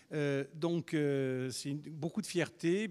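Here a man uses a plain, everyday voice. His pitch is fairly high and his intonation fairly even. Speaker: museum organizer introducing speakers. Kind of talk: welcome speech. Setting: lecture hall with audience. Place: hall.

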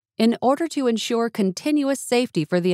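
A woman talks at a fairly quick pace with very wide pitch swings, on a very clean recording with a silent background. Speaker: voice actor. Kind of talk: emergency broadcast announcement. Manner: formal, authoritative.

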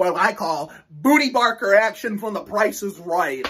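A man speaks in a high voice with ordinary pitch variation. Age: 20s. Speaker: YouTuber reviewing NASCAR races. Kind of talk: solo video commentary. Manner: animated. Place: home room. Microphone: phone near.

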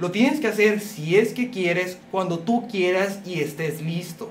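A man speaks at a moderate pace with ordinary pitch variation over light background noise. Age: young. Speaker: YouTuber. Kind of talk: vlog monologue. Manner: animated. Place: home room. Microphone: phone near.

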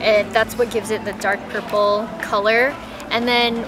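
Clear music plays in the background. A woman speaks over it at a moderate pace. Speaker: co-host food vlogger. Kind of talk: casual vlog chat. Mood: cheerful, relaxed. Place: street.

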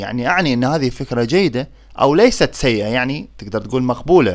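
A man with an Iraqi accent speaks at a medium pitch and a moderate pace. His intonation is lively, and the recording is very clean with a silent background. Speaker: German language teacher. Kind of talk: tutorial.

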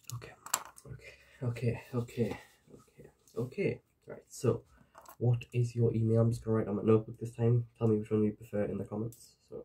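Soft-spoken and in a Geordie accent, a man talks at a fairly quick pace with long, frequent pauses, big swings in loudness and a monotone, flat intonation over light background noise. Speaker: ASMR creator. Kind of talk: ASMR roleplay. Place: home room. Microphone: webcam.

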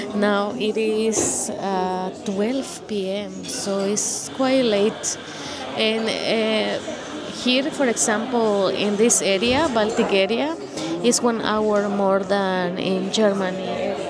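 A woman talks at a very slow pace while music runs in the background. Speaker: travel vlogger. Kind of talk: casual vlog chat. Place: cafe. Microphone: handheld.

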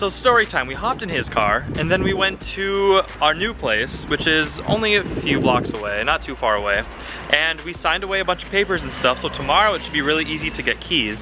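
Dry sound without any echo, with music in the background. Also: man, fairly quick pace. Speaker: vlogger. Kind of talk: casual vlog chat. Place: street. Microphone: phone near.

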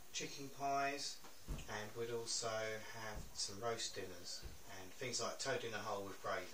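In a room with audible echo and light background noise, a man speaks at a fairly slow pace with ordinary pitch variation. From England, East Sussex. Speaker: interviewee. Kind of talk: interview. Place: home room.

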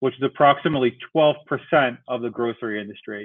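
A man speaks at a fairly quick pace with an American accent against a quiet background. He has a plain, everyday voice. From New York City. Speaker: tech company CEO. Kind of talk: webinar presentation. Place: home room. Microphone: video call.

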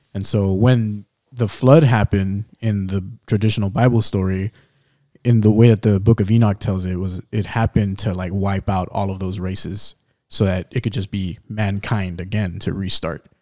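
The tone is dark and mellow, and the intonation fairly even. It moves at a moderate pace over a quiet background. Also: man, fairly low pitch for a man. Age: 20s. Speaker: podcast co-host. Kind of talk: casual chat. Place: studio. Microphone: studio mic.

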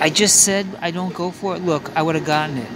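With noticeable background noise and a dry sound with no echo, a man speaks at a moderate pace in a high voice. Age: 50s. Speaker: video poker vlogger. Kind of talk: casual live gameplay commentary. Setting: casino. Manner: animated. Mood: playful, mildly frustrated. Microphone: phone near.

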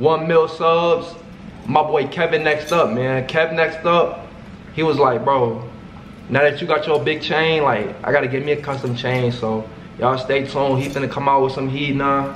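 Heard over light background noise and audible room echo, a man talks at a moderate pace with fairly even intonation. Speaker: content creator. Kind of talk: casual vlog chat. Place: home room.

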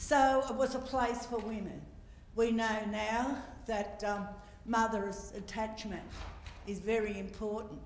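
Pausing long and often, a woman with an Australian accent speaks with fairly even intonation, with light background noise and audible room echo. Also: fairly slow pace. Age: 70s. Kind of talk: welcome to country speech. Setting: stage with audience. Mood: earnest, reflective. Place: hall. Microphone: handheld.

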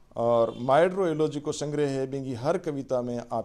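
This is a man's voice. The tone is dark and mellow. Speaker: professor and literary editor. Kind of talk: online literary lecture.

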